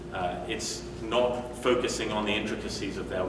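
Through audible room echo and noticeable background noise, a man speaks at a fairly quick pace in a fairly low pitch. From UK. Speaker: agile coach and conference speaker. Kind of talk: conference talk. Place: meeting room. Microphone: camera far.

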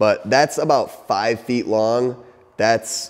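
A man speaks over a quiet background. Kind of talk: casual vlog chat. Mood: excited, proud. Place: garage. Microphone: phone near.

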